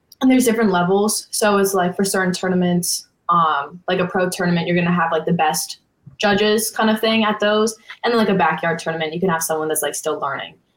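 A woman with an American accent and an unremarkable speaking voice, medium in pitch, with ordinary pitch variation and a fairly quick pace. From US Northeast, Connecticut. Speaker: college water skier. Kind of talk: podcast interview.

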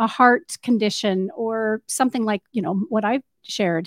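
In an ordinary speaking voice, a woman with a fairly high pitch and lively intonation talks at a fairly quick pace, the sound dry and close with no echo over a quiet background. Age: 50s. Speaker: radio host. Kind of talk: radio interview. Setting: studio.

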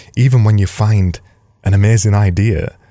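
A man speaks with a Yorkshire accent and a dark, mellow tone. His voice is somewhat breathy. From Yorkshire, England. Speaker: design podcast host. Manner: energetic, emphatic.

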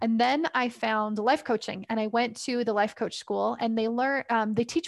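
A woman with a Canadian accent speaks fairly quickly, with ordinary pitch variation and a dry, close sound that has no echo. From Canada. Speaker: parent coach. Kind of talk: casual interview. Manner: hesitant with fillers.

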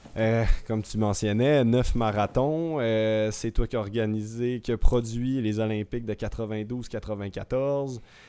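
A man's dark, mellow, medium-pitched voice at a very slow pace, with hardly any pauses and fairly even intonation. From Quebec, Saguenay. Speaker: professional cyclist and co-host. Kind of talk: interview.

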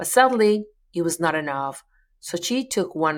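In a Colombian accent, a woman speaks at a fairly slow pace in a fairly low pitch. The recording is very clean, with a silent background. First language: Spanish. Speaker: podcast host. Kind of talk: interview.

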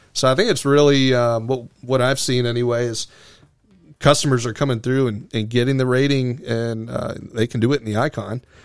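Here is a man with an American accent and an ordinary speaking voice. He keeps a medium pitch, a moderate pace and fairly even intonation. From US, Florida (Venice, Sarasota County). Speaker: seaplane flight school owner and pilot examiner. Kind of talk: casual interview.

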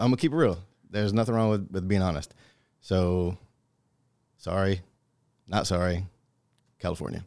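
On a very clean recording with a silent background, a man with a very deep, low pitch speaks at a moderate pace with ordinary pitch variation and long, frequent pauses. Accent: American. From Minnesota. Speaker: truck driver and army veteran. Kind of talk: casual interview.

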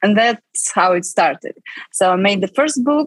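Somewhat breathy and fairly high in pitch, a woman's voice comes through dry and close, with no echo. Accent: Russian. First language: Russian. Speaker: film producer and writer. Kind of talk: interview. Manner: halting.

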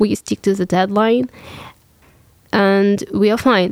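A woman with a Russian accent speaks at a medium pitch and a fairly slow pace, with fairly even intonation. The sound is dry and close, with no echo. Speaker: business student. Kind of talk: panel discussion.

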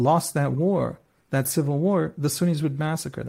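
A man with a fairly high pitch speaks fairly quickly in a dark, mellow, somewhat breathy tone with ordinary pitch variation, on a very clean recording with a silent background. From Israel. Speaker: journalist. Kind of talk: interview.

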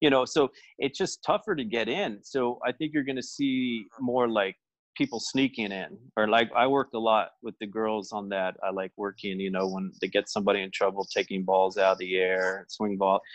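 A plain, everyday voice speaks with an American accent at a moderate pace, with ordinary pitch variation. The background is quiet, and the sound is dry and close with no echo. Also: man, medium pitch for a man. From United States. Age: 40s. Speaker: tennis coach and former pro player. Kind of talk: interview.

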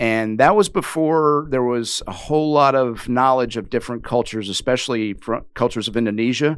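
An ordinary speaking voice from a man, medium-pitched, fairly quick, with ordinary pitch variation and hardly any pauses. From US South, Richmond, Virginia. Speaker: retired Marine and business executive. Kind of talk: interview conversation.

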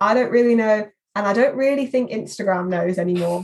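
A woman with an unremarkable speaking voice talks at a moderate pace, at a fairly high pitch and with fairly even intonation. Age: 20s. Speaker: social media marketing executive. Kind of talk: interview.

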